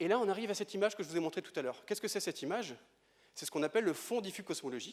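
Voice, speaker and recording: Very fast and lively in intonation, a high-pitched man talks with big swings in loudness. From Brittany, France. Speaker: astrophysicist. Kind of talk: lecture. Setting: stage with audience.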